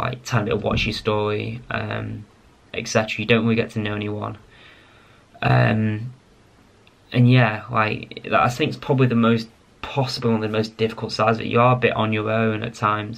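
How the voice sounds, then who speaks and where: Here a man with an English accent talks at a fairly quick pace. His voice is fairly low in pitch, with monotone, flat intonation. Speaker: pharmacist vlogger. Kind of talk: casual vlog talk to camera. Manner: rambling, hesitant with fillers.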